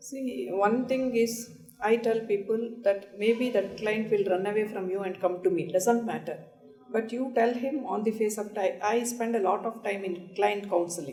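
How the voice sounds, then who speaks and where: Audible room echo surrounds a woman with a fairly high pitch. She speaks at a moderate pace with ordinary pitch variation. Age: 60s. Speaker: senior lawyer. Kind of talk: panel discussion.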